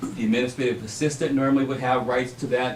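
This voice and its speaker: Amid noticeable background noise and audible room echo, a man talks at a fairly quick pace with a medium pitch and ordinary pitch variation. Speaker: superintendent search consultant. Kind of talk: presentation at a school board meeting. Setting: school board meeting. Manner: fast.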